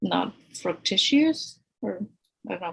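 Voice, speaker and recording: Speaking very slowly in a Spanish accent, a woman has a medium pitch and a somewhat breathy voice. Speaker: architect. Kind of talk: podcast interview.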